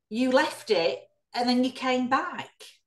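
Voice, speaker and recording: Audible room echo surrounds a woman who talks at a fairly slow pace with a high pitch. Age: 50s. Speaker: ex-Jehovah's Witness activist, channel host. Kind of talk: interview. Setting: video call. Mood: earnest, indignant about abuse. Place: home room. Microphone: video call.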